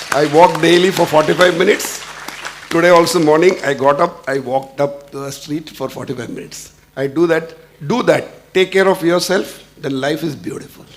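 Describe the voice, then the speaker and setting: A man with a fairly high voice speaks with ordinary pitch variation and big swings in loudness. Noticeable background noise runs underneath. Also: moderate pace. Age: 60s. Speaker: industry executive. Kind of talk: panel discussion. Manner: halting.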